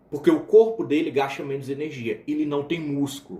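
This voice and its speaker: A fairly high male voice with audible room echo. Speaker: biochemistry teacher. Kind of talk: lecture. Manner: casual, with fillers and restarts.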